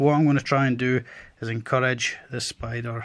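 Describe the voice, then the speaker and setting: A man speaks with a Scottish accent. His intonation is fairly even. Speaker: tarantula keeper. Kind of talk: educational pet-care tutorial.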